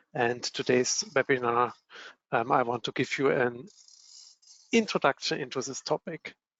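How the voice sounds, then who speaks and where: Long, frequent pauses in a man's moderate-paced speech, medium in pitch and with ordinary pitch variation. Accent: German. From Germany. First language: German. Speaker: product manager, software company. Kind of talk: webinar presentation.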